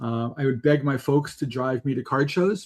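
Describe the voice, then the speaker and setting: A normal speaking voice from a man, medium in pitch, with fairly even intonation. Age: 60s. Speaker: software company co-founder, card collector. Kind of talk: podcast interview.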